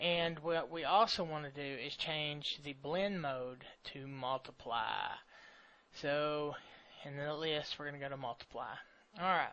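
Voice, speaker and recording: A man has a normal speaking voice with a fairly high pitch. He talks at a fairly slow pace with fairly even intonation. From US South. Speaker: software tutorial creator. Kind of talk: tutorial. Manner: casual.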